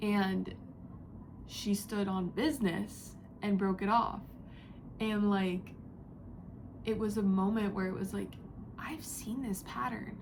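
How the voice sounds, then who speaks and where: There is audible room echo as a woman speaks at a very slow pace. She shows ordinary pitch variation and takes long, frequent pauses. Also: medium pitch for a woman. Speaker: psychic reader. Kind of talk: spiritual channeling message. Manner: whispering, quiet; casual, filler-heavy.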